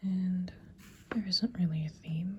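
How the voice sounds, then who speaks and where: The speaker is soft-spoken and talks at a fairly slow pace. Noticeable background noise runs underneath. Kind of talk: ASMR product haul talk to camera.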